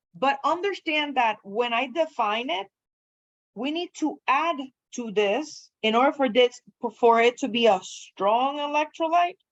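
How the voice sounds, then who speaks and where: A woman speaks in a high voice with a non-native accent. Her pitch swings very widely at a fairly slow pace. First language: not English. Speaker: chemistry lecturer. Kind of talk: lecture. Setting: classroom.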